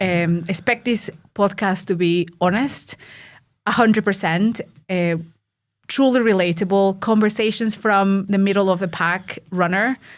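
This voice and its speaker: A woman with a Mexican accent, medium pitch, fairly even intonation, and a moderate pace. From Mexico. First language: Spanish. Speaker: podcast host, ultra runner and coach. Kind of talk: casual chat.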